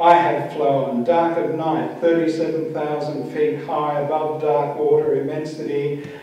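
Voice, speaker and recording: With noticeable background noise behind him, a man with a fairly high pitch speaks in a monotone, flat way at a fairly slow pace, with hardly any pauses. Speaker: poet. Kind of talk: poetry reading. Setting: live reading at a venue.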